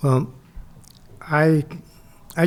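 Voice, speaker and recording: American-accented male speech. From Southern California, Laguna Beach. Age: 80s+. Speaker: historian and author. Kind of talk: interview.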